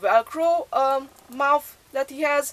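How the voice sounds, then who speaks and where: A woman speaks with a high pitch. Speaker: thrift collector vlogger. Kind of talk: casual show-and-tell haul video. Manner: hesitant, many filler sounds.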